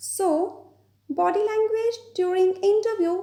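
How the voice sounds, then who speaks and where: In an Indian accent, a woman talks at a moderate pace with an extremely high pitch. Her tone is dark and mellow, with ordinary pitch variation. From Punjab, India. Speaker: IELTS trainer. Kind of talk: educational lecture.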